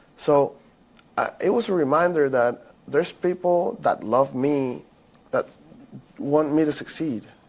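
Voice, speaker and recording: He talks at a fairly slow pace, with long, frequent pauses. The man's pitch is fairly high, with ordinary variation. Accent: Spanish. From Venezuela. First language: Spanish. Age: 20s. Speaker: former college baseball player. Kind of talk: podcast interview. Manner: halting, repeats words.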